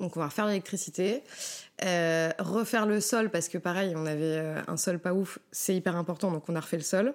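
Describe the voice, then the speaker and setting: Against a silent background in a very clean recording, a woman with a fairly low pitch talks at a moderate pace, keeping her loudness very even and her pitch variation ordinary. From Paris, France. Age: 30s. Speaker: former veterinary nurse. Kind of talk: casual chat. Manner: hesitant, many fillers.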